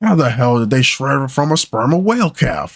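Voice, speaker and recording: In a put-on character voice, a man speaks at medium pitch and a fairly quick pace with lively intonation. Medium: read story.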